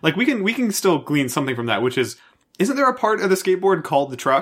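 A man's high-pitched voice, very fast, with very wide pitch swings. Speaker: podcast host. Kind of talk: casual banter.

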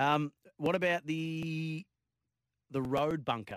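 A man with an Australian accent in a very clean, dry, close recording with no echo and a silent background. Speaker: sports radio host. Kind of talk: sports radio chat.

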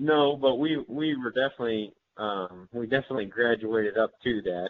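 Speaking with an American accent, a man has an unremarkable speaking voice with ordinary pitch variation at a moderate pace. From northeast Missouri. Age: 30s. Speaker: hunting video creator. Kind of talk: casual interview.

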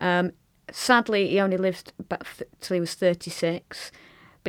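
A woman talks at a fairly quick pace in a Lancashire accent, with medium pitch and fairly even intonation. The recording is very clean, with a silent background. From Lancashire, northern England. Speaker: conductor. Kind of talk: casual chat. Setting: studio.

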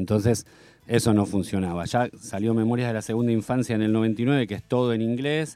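Here a man with a medium pitch and a dark, mellow tone talks at a fairly quick pace with ordinary pitch variation, in a very clean recording with a silent background. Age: 50s. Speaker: musician. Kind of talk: radio interview. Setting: studio.

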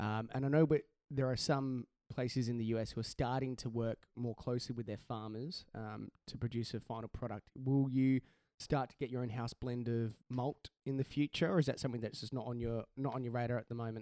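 A man with an Australian accent speaks in a dark, mellow tone. His intonation is fairly even, and the sound is dry and close with no echo. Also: medium pitch for a man, fairly quick pace.

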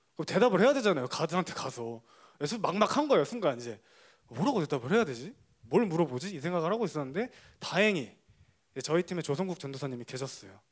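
Very fast and high-pitched, a man's voice moves through very wide pitch swings. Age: young. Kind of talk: testimony.

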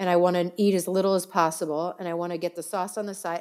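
A woman speaks at a very fast pace. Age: 40s. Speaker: celebrity makeup artist. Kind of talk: casual chat.

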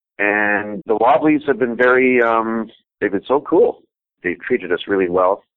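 A man with a fairly low pitch, a normal speaking voice and a moderate pace. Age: 50s. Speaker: harm reduction worker, former paramedic. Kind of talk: interview. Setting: phone call.

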